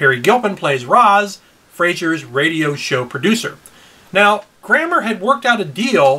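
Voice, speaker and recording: A man speaks in a raised, projected voice with a bright, sharp tone and very wide pitch swings. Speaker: podcast co-host. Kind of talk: pop culture commentary. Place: home room.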